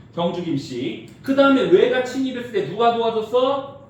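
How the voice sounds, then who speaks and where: Very wide pitch swings mark a man speaking at a moderate pace. Noticeable background noise and audible room echo surround him. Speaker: high school history teacher. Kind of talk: lecture.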